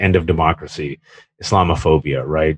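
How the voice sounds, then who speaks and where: Recorded dry and close with no echo against a quiet background, a man with an American accent speaks in a somewhat breathy voice. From California (Fremont). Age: 40s. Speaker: columnist and author. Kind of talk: interview conversation. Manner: animated.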